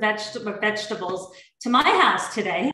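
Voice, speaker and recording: With fairly even intonation, a woman talks at a moderate pace. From Oregon, US West Coast. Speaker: chef. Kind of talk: cooking demonstration. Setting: video call from home. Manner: hesitant, many fillers.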